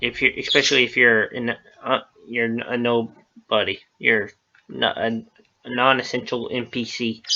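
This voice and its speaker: A man speaks quietly at a moderate pace. His intonation is monotone and flat. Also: medium pitch for a man. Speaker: gaming video creator. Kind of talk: gameplay commentary. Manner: halting.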